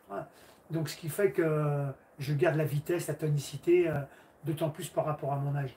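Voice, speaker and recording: Intonation remains fairly even. The speaking pace is moderate. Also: man. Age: 60s. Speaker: karate teacher. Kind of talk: livestream Q&A chat. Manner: halting.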